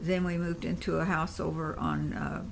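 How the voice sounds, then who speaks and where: Audible room echo surrounds a woman with an American accent. She talks at a moderate pace. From Indiana, Evansville. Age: 70s. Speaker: grandmother telling family history. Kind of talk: oral history interview.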